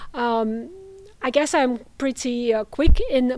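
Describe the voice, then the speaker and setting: A woman's high-pitched voice comes through on a very clean recording with a silent background. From Russia. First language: Russian. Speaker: international students coordinator. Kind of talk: interview. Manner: hesitant, many fillers.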